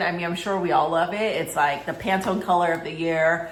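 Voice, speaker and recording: The speaker is female. Her words ring with some echo from the room. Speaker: fashion and handbag vlogger. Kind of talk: casual unboxing vlog. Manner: chatty, filler-heavy; mumbling.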